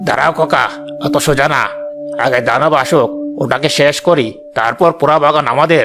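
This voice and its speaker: A man performs a cartoonish character voice at a fairly high pitch and a moderate pace. Clear music plays in the background. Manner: boastful, bossy.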